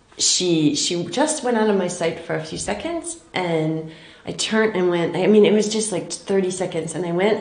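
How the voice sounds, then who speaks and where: Heard with audible room echo, a woman speaks at a fairly low pitch. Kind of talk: interview answer. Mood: thoughtful, earnest.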